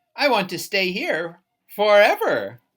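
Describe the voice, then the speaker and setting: A female-sounding voice in a put-on character voice speaks at a medium pitch and a fairly slow pace. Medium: read story. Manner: bossy, fussy.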